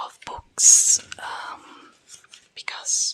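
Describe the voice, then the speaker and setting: Whispering, a woman speaks over noticeable background noise. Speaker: ASMR creator. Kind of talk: whispered ASMR book talk. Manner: soft-spoken, whispered, calming.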